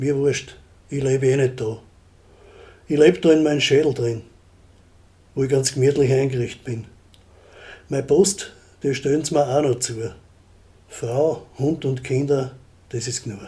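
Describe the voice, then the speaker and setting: A man speaks at medium pitch and a moderate pace with a dark, mellow tone. His voice is somewhat breathy, with long, frequent pauses. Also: fairly even intonation. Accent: Styrian. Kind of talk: dialect poetry reading. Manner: humorous.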